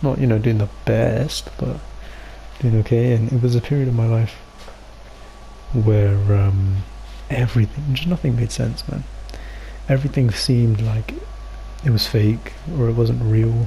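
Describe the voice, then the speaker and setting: A man's speech broken by long, frequent pauses, with noticeable background noise. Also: moderate pace. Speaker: podcast co-host. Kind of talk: casual chat. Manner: halting.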